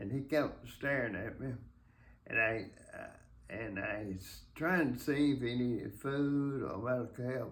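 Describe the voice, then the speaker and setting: Very slowly, a man talks at a medium pitch. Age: 80s+. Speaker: war veteran, former army medic. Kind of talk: interview answer, war memoir. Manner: halting, hesitant.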